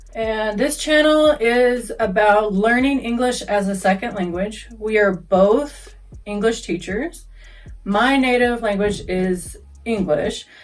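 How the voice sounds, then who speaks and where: A woman's medium-pitched voice at a fairly slow pace, with lively intonation and noticeable background noise. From US South, Kentucky. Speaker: English teacher. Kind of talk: casual introduction to viewers.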